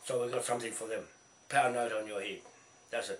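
A man's raspy, put-on character voice at a medium pitch and a very fast pace, with audible echo. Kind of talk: casual talk to camera. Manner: pirate talk.

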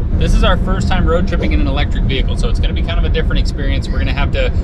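Over loud background noise, a man speaks at a very fast pace in a dry sound with no echo. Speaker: travel vlogger. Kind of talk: casual vlog chat. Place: car. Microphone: phone near.

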